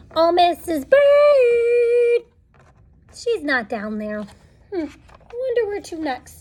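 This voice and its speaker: A woman in a put-on character voice speaks at a very slow pace with long, frequent pauses, her extremely high pitch swinging very widely. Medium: read story.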